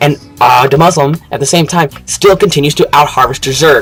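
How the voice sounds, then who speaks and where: The man's fairly high voice comes through noticeable background noise. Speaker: esports caster. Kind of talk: live game commentary. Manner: fast; animated.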